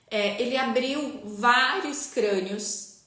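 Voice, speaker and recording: A woman speaks with ordinary pitch variation. Audible room echo and noticeable background noise fill the recording. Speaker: spiritual teacher. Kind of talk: online live class. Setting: live stream.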